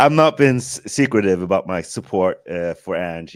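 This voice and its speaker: Someone with an American accent talks at a moderate pace in a very clean recording with a silent background. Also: man. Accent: American-sounding. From Sweden. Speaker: film director, podcast guest. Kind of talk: casual chat.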